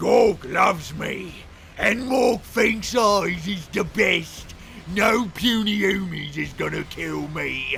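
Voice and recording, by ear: Shouting at a very slow pace in a raspy, put-on character voice, a man with a high pitch is heard over clear background noise.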